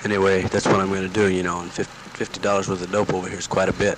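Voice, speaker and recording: A man speaks in a very deep, low voice with a monotone, flat intonation, the sound dry with no echo and noticeable background noise behind him. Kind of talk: casual spoken letter. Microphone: old recording.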